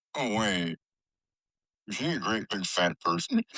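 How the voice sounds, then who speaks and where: In a put-on character voice, a man speaks at a moderate pace with a raspy, fairly low pitch. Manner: weird, stilted, put-on.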